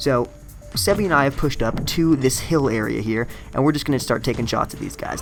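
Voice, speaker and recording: With music in the background, a man talks at medium pitch with ordinary pitch variation. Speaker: gaming commentator. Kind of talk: gameplay voiceover commentary. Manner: casual, conversational.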